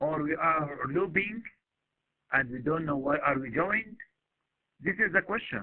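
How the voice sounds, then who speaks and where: A man speaks fairly slowly in a fairly high pitch with lively intonation and long, frequent pauses. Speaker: university lecturer. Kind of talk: lecture. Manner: halting.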